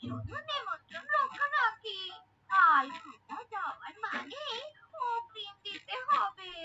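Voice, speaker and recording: Using a cartoonish character voice, a woman talks at a fairly slow pace with an extremely high pitch. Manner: animated, exclamatory.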